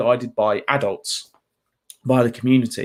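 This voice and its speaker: A man's medium-pitched voice with a southern English accent. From England, just outside London. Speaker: mental health trainer. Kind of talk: talk. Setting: video call. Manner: animated.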